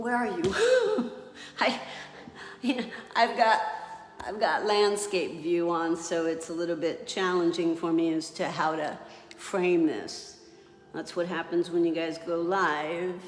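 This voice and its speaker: Over noticeable background noise and audible room echo, a woman speaks at a fairly low pitch and a fairly slow pace, with ordinary pitch variation and long, frequent pauses. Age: 60s. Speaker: fitness instructor. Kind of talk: live exercise class. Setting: livestream. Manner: casual, encouraging.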